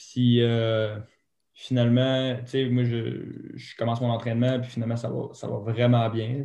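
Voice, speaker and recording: A man's medium-pitched voice in a Saguenay accent, monotone and flat. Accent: Quebec French (Saguenay). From Quebec, Saguenay. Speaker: retired snowboard cross athlete. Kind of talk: interview.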